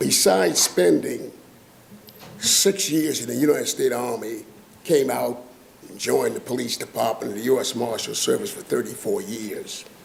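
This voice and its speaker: In a Lowcountry South Carolina accent, a man speaks at a moderate pace. His loudness swings widely. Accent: Southern US (Lowcountry South Carolina). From US South, James Island, South Carolina. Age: 80s+. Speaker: retired law enforcement officer, public commenter. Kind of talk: public comment. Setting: public board meeting.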